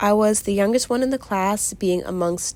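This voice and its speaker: A woman's unremarkable speaking voice, medium in pitch, with ordinary pitch variation and a moderate pace. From Virginia, US. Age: young. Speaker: crafter and small business owner. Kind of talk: casual chat while crafting.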